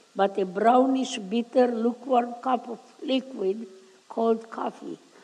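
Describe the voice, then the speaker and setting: Over noticeable background noise, a woman talks at a fairly slow pace and a fairly high pitch with fairly even intonation. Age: 80s+. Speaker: Holocaust survivor. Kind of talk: public talk to a school audience.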